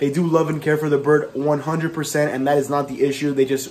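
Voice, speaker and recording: A man's intonation stays monotone and flat amid light background noise. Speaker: pet vlogger. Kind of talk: casual vlog chat. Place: home room. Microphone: phone near.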